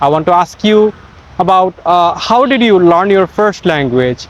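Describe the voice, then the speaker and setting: Speaking with a Bengali accent, a man with a high pitch uses lively intonation at a moderate pace. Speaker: English teacher. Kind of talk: tutorial. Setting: outdoors in a park.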